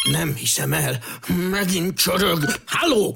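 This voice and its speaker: A put-on character voice growls. The pitch sits in the middle range. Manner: tense, irritated.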